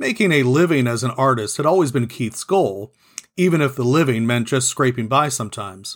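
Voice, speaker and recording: Talking at a fairly quick pace, the speaker has an ordinary speaking voice. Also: man, medium pitch for a man, lively intonation. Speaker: podcast host, author and narrator. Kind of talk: audiobook-style reading of a novel, with intro and outro. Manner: steady, even narrator's pace, with light character voicing in dialogue.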